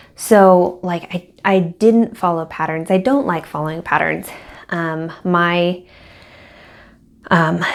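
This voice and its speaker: A woman speaks at a very slow pace. Her fairly low pitch shows ordinary variation. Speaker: crochet designer and vlogger. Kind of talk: casual vlog. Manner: halting, many fillers and repeats.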